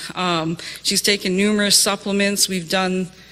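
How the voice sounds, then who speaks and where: A woman speaks at a moderate pace with a Canadian accent. There is noticeable background noise behind her. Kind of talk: testimony. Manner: hesitant, many fillers.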